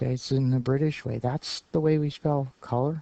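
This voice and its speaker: A man speaks at a moderate pace with a fairly high pitch and ordinary pitch variation. His tone is dark and mellow. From Canada, Ottawa Valley. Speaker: teacher. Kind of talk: lecture. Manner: halting, many fillers.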